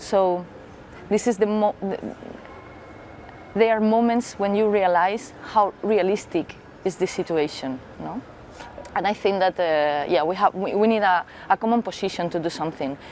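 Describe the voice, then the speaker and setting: Amid noticeable background noise, a woman speaks at a medium pitch and moderate pace with ordinary pitch variation, leaving long, frequent pauses. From Spain. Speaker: politician. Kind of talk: interview. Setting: parliament building. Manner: halting.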